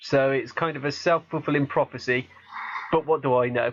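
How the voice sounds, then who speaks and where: A man speaks with a slight Gloucestershire accent. His delivery is otherwise unremarkable. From Gloucestershire, England. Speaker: podcast host. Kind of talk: casual chat. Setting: Skype call.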